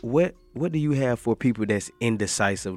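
A man with an American accent talks at a moderate speed, and the recording is very clean with a silent background. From US South. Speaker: podcast co-host. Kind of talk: casual chat.

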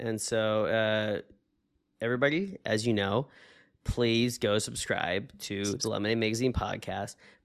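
In an unremarkable speaking voice, a man talks fairly slowly at a medium pitch with fairly even intonation, and the recording is very clean with a silent background. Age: 30s. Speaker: podcast co-host. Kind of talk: casual chat. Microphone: new webcam.

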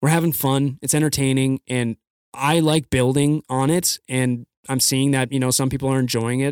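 In a General American accent, the voice moves at a moderate pace with very even loudness and monotone, flat intonation, in a dry, close sound with no echo. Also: man, medium pitch for a man. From US Midwest. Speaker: podcast host. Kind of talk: casual chat. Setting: studio. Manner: enunciates clearly, announcer-like.

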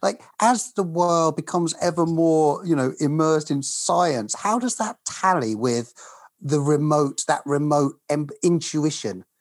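A man with an unremarkable speaking voice, fairly high pitched for a man, speaks at a fairly slow pace with lively intonation and very even loudness in a very clean recording with a silent background. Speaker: podcast host. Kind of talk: interview conversation.

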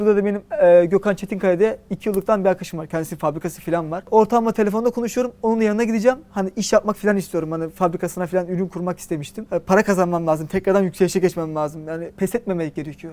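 A man speaks very fast with hardly any pauses, his high-pitched voice dark and mellow in tone, with ordinary pitch variation. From Turkey, Istanbul. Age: 30s. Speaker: tech startup founder. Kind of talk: interview.

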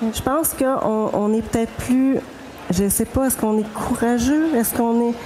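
A woman with a fairly high pitch speaks at a moderate pace with fairly even intonation, noticeable background noise behind her. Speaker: novelist. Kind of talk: panel discussion.

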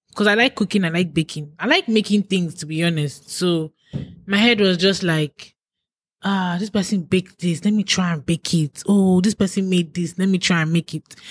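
With a somewhat breathy voice, a woman speaks at a moderate pace and ordinary pitch variation in a dry, close sound with no echo. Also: medium pitch for a woman. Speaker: YouTuber. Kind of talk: casual chat.

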